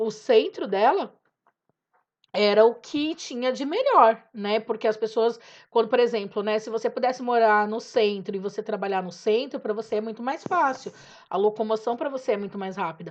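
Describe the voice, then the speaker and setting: A woman with an unremarkable speaking voice, fairly high in pitch, at a moderate pace, with ordinary pitch variation, big swings in loudness and a quiet background. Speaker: teacher. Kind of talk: lecture. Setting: home recording.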